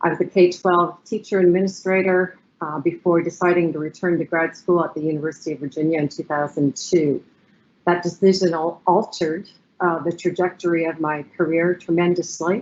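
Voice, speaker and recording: With a Canadian accent and a plain, everyday voice, a woman speaks at a fairly quick pace with a fairly low pitch and fairly even intonation. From Canada, Ottawa, Ontario. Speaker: professor. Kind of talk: webinar panel introduction. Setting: online webinar.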